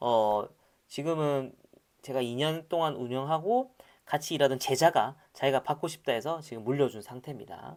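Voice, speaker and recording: An animated man with a Gyeongsang accent, fairly high in pitch, ordinary pitch variation, big swings in loudness, in a very clean recording with a silent background. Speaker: startup lecturer. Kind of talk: lecture. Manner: casual, animated.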